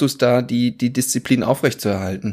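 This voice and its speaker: A man talks at a moderate pace and a medium pitch. The recording is very clean, and the background is silent. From Würzburg, Franconia. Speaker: podcast host. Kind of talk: casual interview podcast. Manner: frequent filler hesitations.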